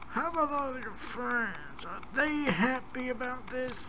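In a cartoonish character voice, the speaker talks at a moderate pace and a fairly high pitch over loud background noise. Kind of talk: talk show host. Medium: puppet show. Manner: friendly, slightly awkward.

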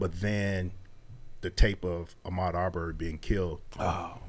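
A man speaks with a Mississippi accent. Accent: US Southern (Mississippi). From Mississippi (McComb). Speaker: non-profit founder and author; radio guest. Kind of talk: casual interview; interview answer. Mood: serious, reflective. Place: studio. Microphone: studio mic.

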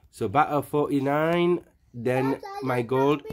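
A man speaks with fairly even intonation over faint background music. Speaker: gameplay narrator. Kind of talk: gameplay commentary. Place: home room.

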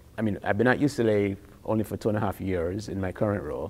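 This man talks at a very fast pace with fairly even intonation. His tone is dark and mellow. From Jamaica. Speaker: physician-scientist, endocrinologist. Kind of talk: interview. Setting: in-person interview. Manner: hesitant, many fillers and repetitions. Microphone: lapel.

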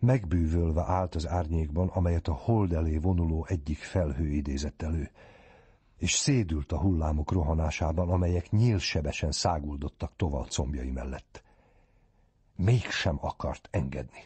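A man with a very deep, low pitch speaks at a fairly slow pace, somewhat breathy, with ordinary pitch variation. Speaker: audiobook narrator. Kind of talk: reading aloud.

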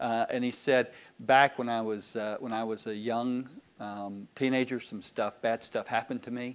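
A man with a Southern US accent speaks in a monotone, flat intonation. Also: moderate pace. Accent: Southern US (Georgia). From US South, Georgia (Decatur, Loganville). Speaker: pastor. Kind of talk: sermon. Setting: church. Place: church.

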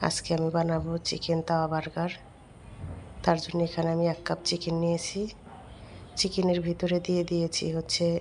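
A woman speaks with a fairly low pitch. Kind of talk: cooking tutorial.

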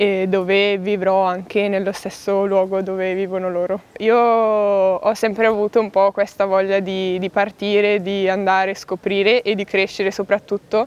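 A woman at medium pitch, fairly slow and monotone with flat intonation, in a dry sound with no echo. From northern Italy, Bergamo; Italy. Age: 20s. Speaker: prospective lay missionary volunteer. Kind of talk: personal testimony to camera. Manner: halting, with many fillers. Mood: calm, thoughtful. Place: forest.

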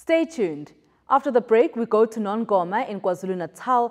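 A woman's voice moves through very wide pitch swings at a moderate pace. The background is quiet. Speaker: television news presenter. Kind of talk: formal news bulletin reading, scripted. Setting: studio. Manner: formal, measured, even-paced newsreader delivery; clear, polished, neutral tone with scripted headlines.

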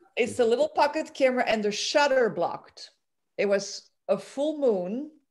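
A woman talks at a moderate pace in a high-pitched voice with lively intonation. The background is quiet. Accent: Dutch. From Belgium, Antwerp; Belgium. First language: Dutch. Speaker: amateur photographer, club member. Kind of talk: photo presentation. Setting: video call. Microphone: video call.

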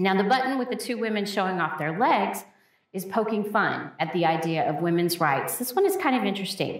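In an unremarkable speaking voice, a woman of medium pitch talks at a fairly quick pace with lively intonation. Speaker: museum educator. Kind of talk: educational gallery talk. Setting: museum hallway.

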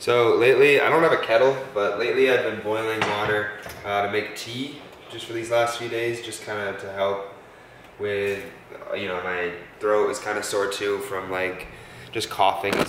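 A man at a moderate pace, fairly low in pitch with fairly even intonation, amid audible room echo and light background noise. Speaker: college student vlogger. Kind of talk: casual vlog chat. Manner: tired voice with a sore throat. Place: home room.

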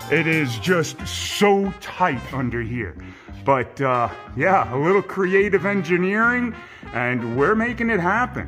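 Clear music plays behind a man who speaks at a fairly slow pace. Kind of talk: casual walkthrough commentary. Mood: enthusiastic. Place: garage. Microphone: phone near.

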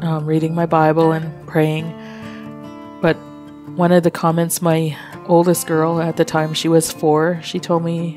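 Against music in the background, a woman with a fairly low pitch speaks at a fairly slow pace. Her intonation is monotone and flat, with long, frequent pauses. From Alberta, Canada. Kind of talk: personal testimony interview answer.

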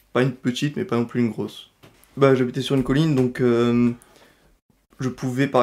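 A man's plain, everyday voice at a medium pitch and a moderate pace. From France, Vaucluse near Avignon. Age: 19. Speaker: university student. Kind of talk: testimony.

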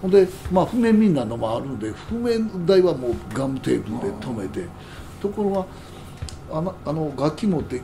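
A man with a Kansai accent, fairly high pitch, very wide pitch swings and a moderate pace, amid noticeable background noise. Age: 70s. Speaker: jazz musician. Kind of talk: casual chat.

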